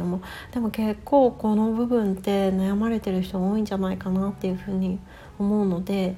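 Somewhat breathy and dark, mellow in tone, a woman talks at a fairly quick pace and a medium pitch with monotone, flat intonation. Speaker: life coach. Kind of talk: casual chat.

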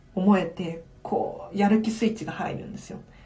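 At a moderate pace and with ordinary pitch variation, the voice comes through with audible room echo. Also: woman. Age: 20s. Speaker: tidying consultant, live-stream host. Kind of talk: live-stream Q&A, casual chat.

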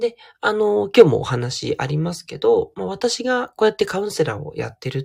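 A man speaks with a dry, close sound and no echo. The recording is very clean and the background silent. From Tokyo, Japan. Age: 40s. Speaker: counselor and podcaster. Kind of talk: solo audio diary monologue. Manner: soft, androgynous delivery; relaxed, many fillers.

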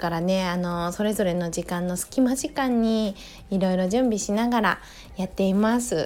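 Using a relaxed, gentle tone, a woman speaks at a moderate pace with ordinary pitch variation. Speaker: podcaster, yoga instructor and mother. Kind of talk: casual solo monologue. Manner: relaxed, gentle pace.

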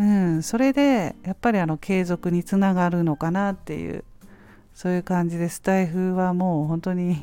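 A woman speaks at a medium pitch and moderate pace in a dark, mellow, relaxed tone. The recording is very clean, with a silent background. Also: ordinary pitch variation. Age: 50s. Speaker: podcaster and freelance homemaker. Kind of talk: casual monologue. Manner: relaxed, filler-heavy.

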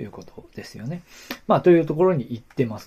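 A man's dark, mellow, somewhat breathy voice. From Aomori, Japan. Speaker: podcast host. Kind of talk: casual solo talk about local history. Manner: hesitant, many fillers.

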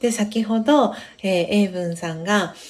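A woman speaks at a fairly slow pace in a somewhat breathy voice with ordinary pitch variation. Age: 30s. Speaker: podcast host. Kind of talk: casual chat; reading aloud. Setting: live stream. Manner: frequent fillers.

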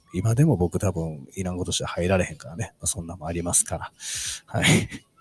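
Music plays in the background. A man speaks with a very deep, low pitch and ordinary pitch variation. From Osaka, Kansai (Kyoto side). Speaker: podcast host. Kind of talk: casual solo talk.

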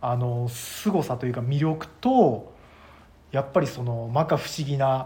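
This man has a plain, everyday voice and speaks at a fairly slow pace. His pitch is medium, with ordinary pitch variation. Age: 40s. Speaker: web director, apparel brand owner. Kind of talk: casual chat.

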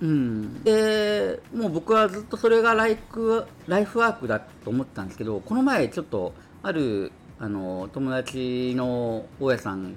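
At a fairly slow pace, a man of medium pitch talks with very wide pitch swings. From Kyushu. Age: 50s. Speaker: landlord and investment mentor. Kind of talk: casual interview.

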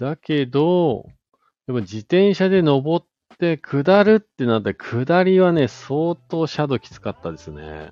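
This man has a plain, everyday voice with fairly high pitch and lively intonation. He talks at a fairly slow pace, his loudness swinging widely. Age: 40s. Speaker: podcast host. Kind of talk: casual chat. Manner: casual, filler-heavy.

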